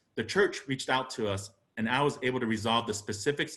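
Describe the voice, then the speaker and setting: This man has a Spanish accent. He talks at a fairly quick pace with fairly even intonation. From Arizona. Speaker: congressional candidate, lawyer. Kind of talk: campaign speech. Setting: political party meeting. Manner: formal.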